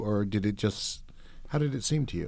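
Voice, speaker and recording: A man talks with lively intonation at a moderate pace in a normal speaking voice, captured in a very clean recording against a silent background. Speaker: interviewer. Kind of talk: interview conversation. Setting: recording studio.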